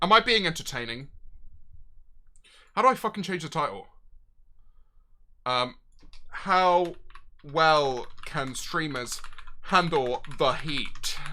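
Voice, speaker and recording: Bright and sharp in tone, the voice moves at a very slow pace with lively intonation and long, frequent pauses. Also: man, fairly high pitch for a man. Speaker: streamer. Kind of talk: live stream chat. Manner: loud; animated.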